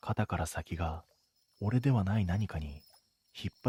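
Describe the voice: Plain reading aloud plays over a quiet background.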